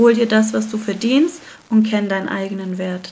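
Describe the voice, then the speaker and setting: A woman's fairly high, somewhat breathy voice with a dark, mellow tone, fairly even intonation and a moderate pace. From Germany. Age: 30s. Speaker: entrepreneur, founder of a hair care brand. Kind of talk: casual interview.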